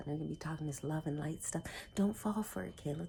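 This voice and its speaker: A whispering woman, somewhat breathy. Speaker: self-help vlogger. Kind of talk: personal vlog talk. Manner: halting.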